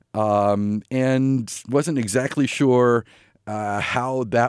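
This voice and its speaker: A man is recorded very cleanly against a silent background, with a dry, close sound and no echo. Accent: American. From US Northeast, Long Island, New York. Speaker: minister. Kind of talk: radio interview. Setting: studio. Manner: hesitant, many fillers.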